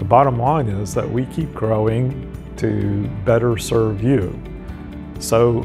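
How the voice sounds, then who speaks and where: A man at a very slow pace with ordinary pitch variation, clear music in the background. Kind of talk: corporate promotional talk. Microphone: lapel.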